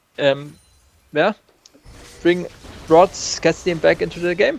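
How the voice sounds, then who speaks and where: The recording sounds dry and close, with no echo. A man with a non-native accent speaks at a high pitch. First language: not English. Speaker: novice shoutcaster. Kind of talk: live game commentary. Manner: hesitant, non-native English.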